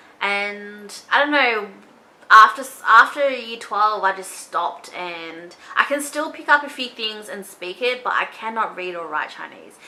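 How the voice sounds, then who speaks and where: An Australian accent with lively intonation, a fairly slow pace and big swings in loudness. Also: woman, fairly high pitch for a woman. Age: 20s. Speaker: beauty vlogger. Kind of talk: casual chat. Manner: casual, chatty.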